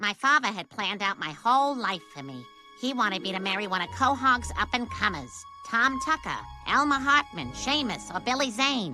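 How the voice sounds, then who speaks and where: A cartoonish character voice sounds female, with a medium pitch. Faint music plays in the background. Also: moderate pace. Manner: composed, mildly exasperated.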